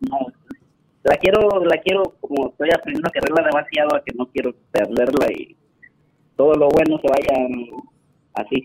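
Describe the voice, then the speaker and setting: Recorded with a dry, close sound and no echo, a man with a fairly high pitch and ordinary pitch variation speaks at a moderate pace, leaving long, frequent pauses. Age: 30s. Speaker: caller. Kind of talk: call-in advice conversation.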